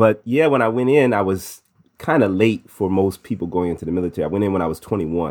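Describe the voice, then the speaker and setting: A man in an American accent at a fairly quick pace, on a very clean recording with a silent background. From US Midwest. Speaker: university chaplain, musician. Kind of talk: interview.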